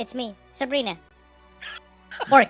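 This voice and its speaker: A female-sounding, high-pitched put-on character voice plays over faint music in the background. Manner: playful.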